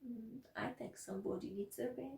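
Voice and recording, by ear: Using a put-on character voice, a woman speaks at a moderate pace with a fairly high pitch and ordinary pitch variation. Her slightly mellow tone carries a husky, rough edge and vocal fry.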